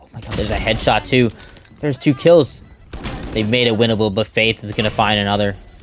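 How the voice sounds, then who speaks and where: Over noticeable background noise, a man talks at a fairly quick pace, his fairly low pitch showing ordinary variation. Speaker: esports commentator. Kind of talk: live esports commentary on a match, play-by-play.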